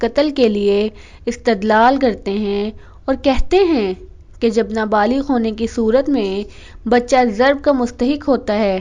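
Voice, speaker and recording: Her voice is high-pitched. This woman shows ordinary pitch variation. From Pakistan. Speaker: voice-over artist. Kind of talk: religious sermon narration.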